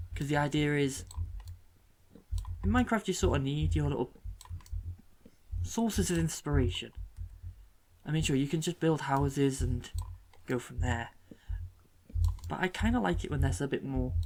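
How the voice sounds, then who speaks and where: Soft-spoken delivery at a moderate pace, with long, frequent pauses. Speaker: gaming YouTuber. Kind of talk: casual gameplay commentary.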